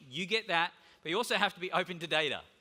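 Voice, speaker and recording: Delivered at a very fast pace, this energetic voice has an Australian accent and a bright, sharp tone. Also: man. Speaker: conference keynote speaker. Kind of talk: conference keynote talk. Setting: stage with audience. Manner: casual.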